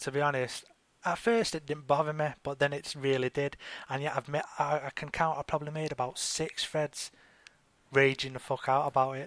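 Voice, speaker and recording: A British accent at a moderate pace with fairly even intonation and a dry, close sound with no echo. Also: man, fairly high pitch for a man. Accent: typical British. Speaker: talk show co-host. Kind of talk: casual chat. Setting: live internet broadcast.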